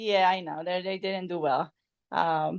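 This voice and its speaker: A woman speaks at medium pitch with a Polish accent. The background is quiet. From Poland. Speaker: podcast guest, friend of host. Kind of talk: casual chat. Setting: evening podcast conversation.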